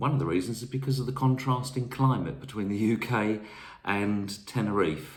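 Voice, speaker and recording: Speaking at a fairly quick pace in a southern English accent, a man is heard with audible room echo. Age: 60s. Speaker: travel vlogger. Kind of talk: casual talk to camera. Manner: hesitant, many fillers.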